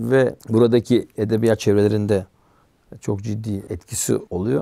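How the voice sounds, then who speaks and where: Speaking at a fairly slow pace, a man has a dark, mellow tone in a dry sound with no echo. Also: fairly low pitch for a man, fairly even intonation, quiet background. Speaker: religious culture commentator; guest. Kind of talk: interview conversation. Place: studio. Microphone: lapel.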